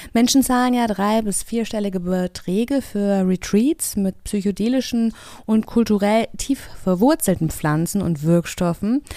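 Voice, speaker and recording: On a very clean recording with a silent background, a woman speaks at a fairly slow pace. Her pitch is medium, her tone dark and mellow, with ordinary pitch variation. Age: 40s. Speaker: podcast host. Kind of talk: casual chat; scripted narration.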